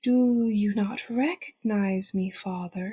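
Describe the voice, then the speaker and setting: In a put-on character voice, a woman speaks at a fairly slow pace with a medium pitch. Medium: read story. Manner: cheery, singsong, speaks in rhyme.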